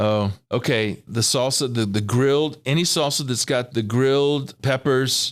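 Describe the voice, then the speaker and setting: A man with an American accent and an ordinary speaking voice, medium pitch, fairly even intonation and a fairly slow pace, in a very clean recording with a silent background. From California. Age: 60s. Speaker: financial planning mentor. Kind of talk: interview.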